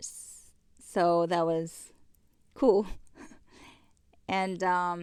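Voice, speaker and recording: A woman speaks with a non-native accent in a fairly low pitch. Her intonation stays fairly even. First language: not English. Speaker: business owner's wife. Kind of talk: casual chat.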